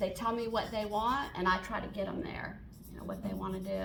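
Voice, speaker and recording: Through noticeable background noise and audible room echo, a woman speaks at a moderate pace. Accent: Southern US. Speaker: portrait artist and painting teacher. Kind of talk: Q&A at a member meeting. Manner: halting, many fillers.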